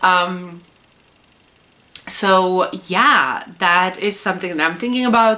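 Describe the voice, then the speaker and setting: Over noticeable background noise, a woman with a Czech accent talks at a very slow pace with long, frequent pauses. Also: medium pitch for a woman, ordinary pitch variation. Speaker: puzzle YouTuber. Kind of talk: casual vlog monologue. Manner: hesitant, many fillers.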